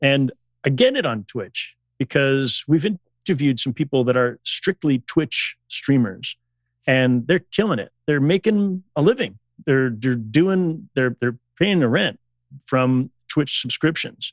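Speaking with a Canadian accent, a man has a fairly high pitch and lively intonation at a fairly slow pace. The sound is dry and close, with no echo. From Canada. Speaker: podcast guest. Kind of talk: casual chat. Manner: animated, swears a lot.

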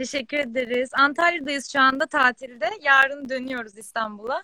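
A woman projects her voice at a high pitch with a bright, sharp tone and ordinary pitch variation. She keeps a moderate pace, and the sound is dry and close with no echo. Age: 20s. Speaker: fashion entrepreneur. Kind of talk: casual chat.

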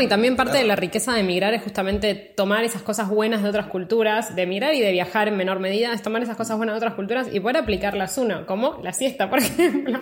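A woman with a Rioplatense accent talks at a very fast pace with hardly any pauses, her fairly high voice showing ordinary pitch variation. There is noticeable background noise. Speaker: podcast host. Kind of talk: interview. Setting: studio.

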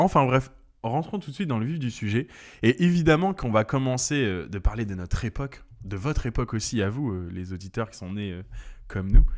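On a very clean recording with a silent background, a man in a normal speaking voice talks at a fairly quick pace with lively intonation and big swings in loudness. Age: 30s. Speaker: podcast co-host. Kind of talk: casual chat.

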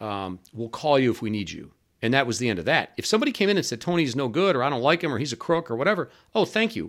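In a very clean recording with a silent background, a man with a Great Lakes accent talks at a very fast pace. His medium pitch swings very widely. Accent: Great Lakes American. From US Midwest (Cleveland, Ohio). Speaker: businessman recounting criminal case. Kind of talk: interview testimony.

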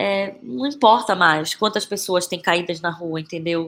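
Speaking at a moderate pace, a woman has a plain, everyday voice with a medium pitch and ordinary pitch variation. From Brazil, Belém (Pará). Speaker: actress and playwright. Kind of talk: interview conversation.

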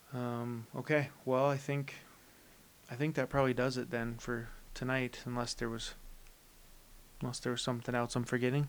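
A man talks at a medium pitch and a moderate pace, with monotone, flat intonation. Long, frequent pauses break up his speech. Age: 20s. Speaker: sports podcast host. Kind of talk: casual chat.

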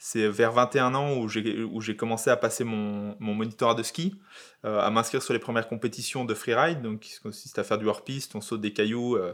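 In a plain, everyday voice, a man speaks at a medium pitch and moderate pace with ordinary pitch variation, recorded very cleanly over a silent background. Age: 30s. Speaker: YouTube content creator. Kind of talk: casual chat.

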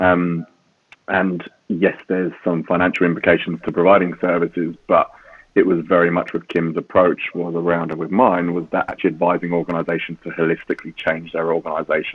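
A man speaks in a very deep, low voice with a British accent. His delivery is flat and monotone at a fairly quick pace. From UK. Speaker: safeguarding executive. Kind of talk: interview conversation.

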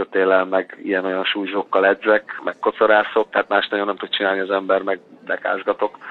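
Against noticeable background noise, a man speaks in a fairly low pitch with monotone, flat intonation. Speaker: professional football goalkeeper. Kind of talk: casual interview. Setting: phone call.

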